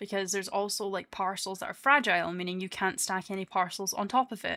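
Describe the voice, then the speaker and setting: A Scottish-accented woman speaks very fast in a bright, sharp tone with fairly even intonation, on a very clean recording with a silent background. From Scotland. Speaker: VTuber streamer. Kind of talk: casual chat. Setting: live stream.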